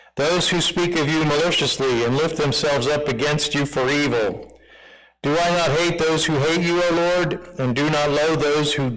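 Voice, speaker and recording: A man talks at a middling speed, and noticeable room reverberation can be heard. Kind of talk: reading aloud; casual chat.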